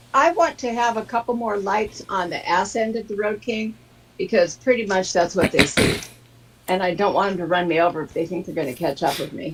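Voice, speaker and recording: A woman talks at a fairly quick pace in a medium pitch. Her intonation is lively, and there is noticeable background noise. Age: 60s. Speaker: motorcyclist. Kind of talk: casual chat.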